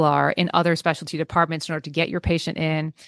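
A woman's very fast speech with a Californian accent, fairly low in pitch, dry and close with no echo, over a quiet background. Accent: Californian American English. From US West Coast, San Francisco Bay Area. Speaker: veterinary technician. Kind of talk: casual interview chat.

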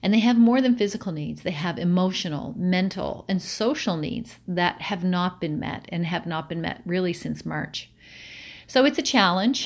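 An unremarkable speaking voice at a moderate pace, with lively intonation. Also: woman. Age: 50s. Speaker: provincial politician. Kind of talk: constituency update address.

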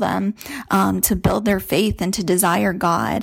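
An ordinary speaking voice from a woman at a medium pitch and moderate pace, with an American accent, on a very clean recording with a silent background. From California. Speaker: listener, homeschooling mom. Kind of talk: recorded listener testimonial.

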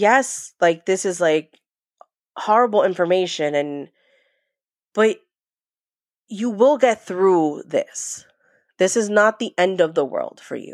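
A woman with an American accent speaks very slowly, with lively intonation. Her delivery has long, frequent pauses. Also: medium pitch for a woman. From New York. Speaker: trauma survivor sharing family story. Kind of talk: testimony.

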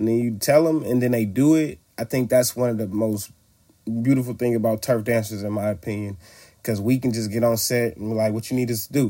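Recorded very cleanly against a silent background, a man with a medium pitch and a dark, mellow tone speaks with fairly even intonation. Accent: American. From Oakland, California, partly Louisiana. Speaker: street dancer. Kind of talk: interview. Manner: casual, conversational.

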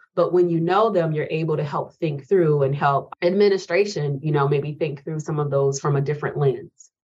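A woman talks at a moderate pace with hardly any pauses. Her very deep, low voice is somewhat breathy, with fairly even intonation. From rural South Carolina, US South. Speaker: university professor and speech-language pathologist. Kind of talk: interview.

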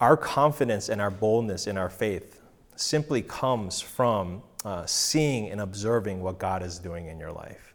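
Fairly low-pitched and fairly slow, a man with an American accent and an ordinary speaking voice uses lively intonation and big swings in loudness on a very clean recording with a silent background. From Korean American, grew up mostly in the US. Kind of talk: personal testimony. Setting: home recording session with live audience.

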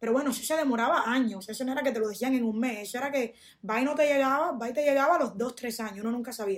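Words come out very fast. The pitch shows ordinary variation. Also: woman, high pitch for a woman. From Cuba, Pinar del Río; came to US at 8. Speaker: podcast host. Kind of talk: casual chat.

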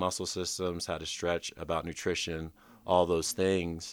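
A man's very deep, low voice in monotone, flat intonation at a moderate pace, in a very clean recording with a silent background. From Anchorage, Alaska. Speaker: nonprofit founder and former pro baseball player. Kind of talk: interview conversation. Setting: in person at a fellowship retreat.

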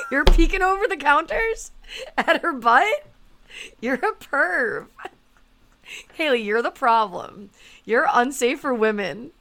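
Speaking very slowly with long, frequent pauses, a woman uses a raised, projected voice that is high-pitched, bright and sharp in tone, with very wide pitch swings. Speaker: podcast host. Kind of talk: casual podcast chat.

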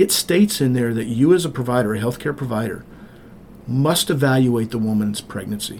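Talking at a fairly quick pace, a man with an American accent has a normal speaking voice, a medium pitch and ordinary pitch variation. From rural Montana. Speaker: state senator. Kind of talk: interview.

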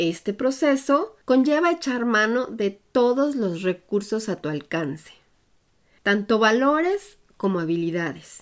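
On a very clean recording with a silent background, a woman speaks. Her pace is very slow and her pitch swings very widely. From Mexico, Puebla. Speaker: podcast host and expat coach. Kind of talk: scripted narration.

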